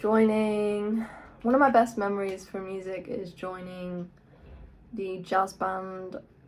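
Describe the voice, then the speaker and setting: A woman speaks with an English accent at a medium pitch. Her intonation is fairly even. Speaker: guitarist and YouTuber. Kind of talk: casual vlog talk. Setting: in own room.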